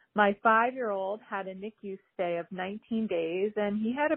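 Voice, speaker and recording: A woman speaks in a normal speaking voice with an American accent. Her pitch sits in the medium range. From New Jersey, Manahawkin. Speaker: NICU mother sharing message. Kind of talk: recorded message.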